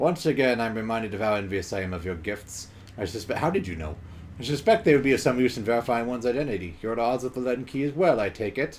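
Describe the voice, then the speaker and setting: A rumbling, put-on character voice races along at a very fast pace with lively intonation. Background noise is clearly audible. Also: man, medium pitch for a man. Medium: game stream. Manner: formal, proud, measured.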